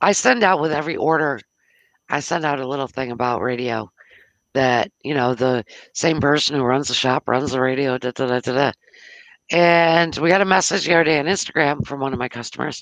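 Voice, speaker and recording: Someone with an American accent talks at a moderate pace against a quiet background. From US South. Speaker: internet radio host and shop owner. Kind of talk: casual live radio chat. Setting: live online radio stream.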